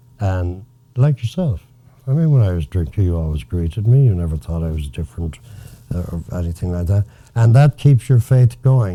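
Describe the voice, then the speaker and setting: With an Irish accent, a man speaks at a moderate pace in a very deep, low, somewhat breathy voice with a dark, mellow tone. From Galway, Ireland. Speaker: former Hollywood writer. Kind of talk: interview answer.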